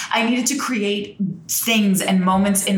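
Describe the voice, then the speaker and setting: Amid noticeable background noise, a woman with an American accent speaks at a very slow pace. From New Jersey. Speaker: crystal shop owner. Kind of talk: casual chat interview. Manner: talkative, animated.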